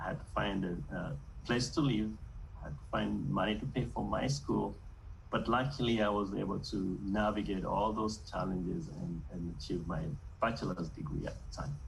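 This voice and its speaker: Speaking at a moderate pace with a Kenyan accent, a man is heard with audible room echo. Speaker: university staff member. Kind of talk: interview. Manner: halting.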